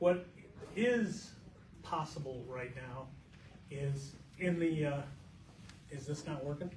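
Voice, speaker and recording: A man's very slow speech with long, frequent pauses and ordinary pitch variation, amid audible room echo and noticeable background noise. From Eastern Idaho. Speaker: journalist. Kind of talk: panel talk. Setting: library forum with audience. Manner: loud.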